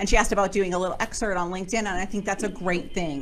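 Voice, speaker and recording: A woman speaks at medium pitch. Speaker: author and book publisher giving a presentation. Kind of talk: presentation with Q&A to a networking group. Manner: fast.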